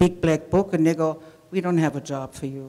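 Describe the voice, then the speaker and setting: A woman speaks with a fairly low voice. Background noise is noticeable. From Germany. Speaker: immigrant storyteller. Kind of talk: storytelling talk.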